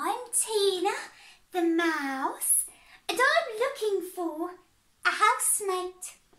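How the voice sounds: A female-sounding put-on character voice at an extremely high pitch creeps along at a very slow pace with long, frequent pauses.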